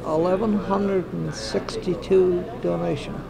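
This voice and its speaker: A man talks at a very slow pace. Background noise is noticeable. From Prince Edward Island, Canada. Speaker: retired record blood donor. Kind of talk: interview answer.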